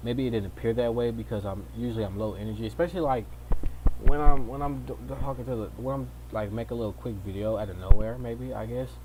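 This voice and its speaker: Amid noticeable background noise and audible room echo, a man with a very deep, low pitch talks at a very fast pace, with very wide pitch swings and big swings in loudness. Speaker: streamer / vlogger. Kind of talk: casual personal vlog. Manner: halting, many restarts.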